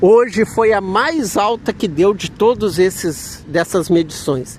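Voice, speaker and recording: Noticeable background noise surrounds a man with a high voice. He speaks very slowly, with lively intonation. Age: 60s. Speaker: vlogger. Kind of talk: casual vlog monologue. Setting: outside a health center.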